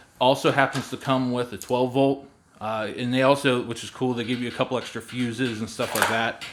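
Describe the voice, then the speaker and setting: Talking at a fairly quick pace, a man with a medium-pitched voice keeps a flat, monotone delivery over noticeable background noise. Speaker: RV and camping YouTuber. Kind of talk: product review tutorial. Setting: garage. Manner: hesitant, many fillers.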